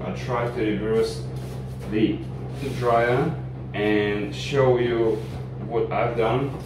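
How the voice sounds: Against clear background noise, the voice moves at a slow pace with fairly even intonation. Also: man, medium pitch for a man.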